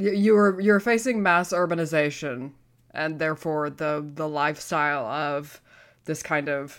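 A woman's very deep, low voice with an American accent and ordinary pitch variation, at a fairly slow pace, in a very clean recording with a silent background. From Texas. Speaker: paranormal podcast co-host. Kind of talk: casual chat.

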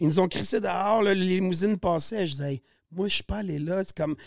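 The man's voice is high-pitched, and the sound is dry and close, with no echo. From Quebec, Montérégie (Saint-Basile). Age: 40s. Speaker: podcast guest, sausage maker. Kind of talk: casual chat.

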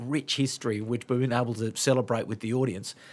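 On a very clean recording with a silent background, a man speaks with an Australian accent. His intonation is fairly even. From Sydney, Australia. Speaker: podcast host. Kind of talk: casual chat. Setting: studio.

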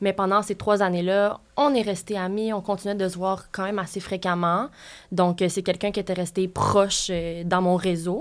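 On a very clean recording with a silent background, an unremarkable speaking voice keeps a moderate pace and fairly even intonation. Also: woman, medium pitch for a woman. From Quebec, Sherbrooke. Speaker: interview guest. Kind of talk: personal story in interview.

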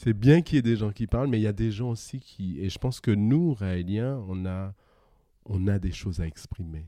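A man at a moderate pace, his intonation lively. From Guadeloupe. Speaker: podcast guest. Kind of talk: casual interview conversation. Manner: laughs often.

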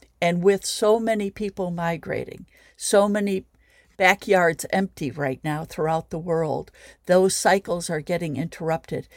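Fairly slow speech with a US Midwestern accent and ordinary pitch variation, in a dry, close sound with no echo and a very clean recording over a silent background. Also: woman. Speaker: sculptor and environmentalist. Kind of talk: interview.

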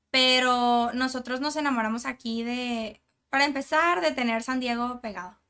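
Speaking at a moderate pace, a woman has a high pitch, a bright, sharp tone and fairly even intonation. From Monterrey, Mexico. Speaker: content creator. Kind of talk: casual chat.

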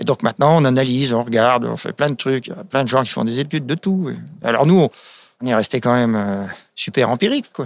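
A man with a normal speaking voice talks at medium pitch with ordinary variation. The recording is very clean, with a silent background and a dry, close sound free of echo. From France, wine village. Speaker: winemaker. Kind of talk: casual interview.

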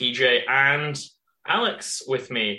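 A man speaks slowly in a bright, sharp tone at a medium pitch, with audible room echo.

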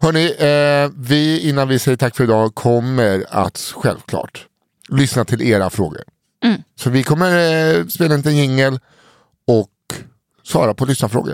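A man speaks with a plain, everyday voice, a medium pitch and lively intonation at very even loudness. The sound is dry and close with no echo. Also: moderate pace. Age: 30s. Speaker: podcast host. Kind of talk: casual chat.

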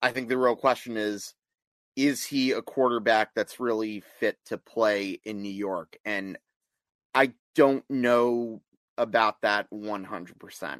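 An unremarkable speaking voice moves at a fairly slow pace with ordinary pitch variation, in a dry, close sound with no echo. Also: man, medium pitch for a man. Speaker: sports talk co-host. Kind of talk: casual sports talk.

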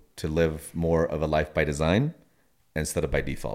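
On a very clean recording with a silent background, a man with a very deep, low pitch speaks at a moderate pace. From Puerto Rico. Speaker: podcast host. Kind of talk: interview conversation.

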